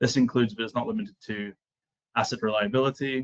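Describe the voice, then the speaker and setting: A man with a Scottish accent talks at a very fast pace and a medium pitch, his pitch swinging very widely in a dry, close sound with no echo. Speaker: software client relationship manager. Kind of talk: webinar presentation.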